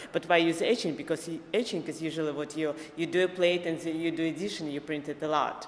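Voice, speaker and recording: Over noticeable background noise, a woman with a fairly low pitch talks at a very fast pace with an Eastern European accent and fairly even intonation. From Belarus. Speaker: visual artist. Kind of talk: casual interview. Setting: podcast interview. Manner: halting, with fillers.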